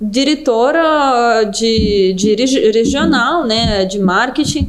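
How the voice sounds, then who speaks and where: Slowly, very slowly, a woman with a Russian accent speaks with lively intonation amid audible room echo and noticeable background noise. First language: Russian (speaking Portuguese). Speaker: business development manager. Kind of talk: podcast interview.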